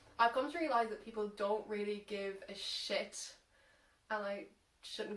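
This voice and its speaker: A woman speaks with an Irish accent at a medium pitch. Her pace is fairly slow, with ordinary pitch variation. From Ireland. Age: young. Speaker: social media content creator. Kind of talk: casual talk to camera. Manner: unscripted, hesitant.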